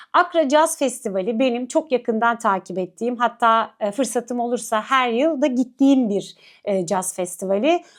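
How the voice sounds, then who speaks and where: Heard in a very clean recording with a silent background, a woman talks at a moderate pace with a high pitch, lively intonation, and hardly any pauses. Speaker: culture and arts show host. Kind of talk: event agenda presentation to camera. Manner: many filler hesitations.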